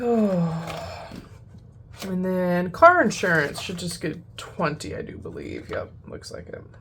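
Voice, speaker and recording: A woman's very slow speech, big swings in loudness and audible room echo. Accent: American. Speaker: budgeting youtuber. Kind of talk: casual chat.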